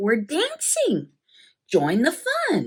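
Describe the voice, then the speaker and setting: A woman speaks in a high register. She uses a put-on character voice. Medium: read story.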